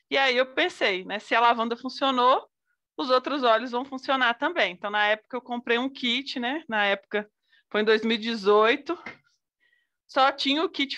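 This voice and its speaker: Her tone bright and sharp, a woman speaks at a high pitch and moderate pace with ordinary pitch variation against a quiet background. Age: 30s. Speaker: businesswoman and essential oils consultant; guest. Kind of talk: casual chat. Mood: warm, enthusiastic. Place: home room. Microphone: video call.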